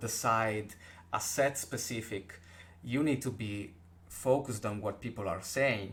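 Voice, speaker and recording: The speaker has a strong Italian accent and a fairly slow pace. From Italy. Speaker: podcast host. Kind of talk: casual chat.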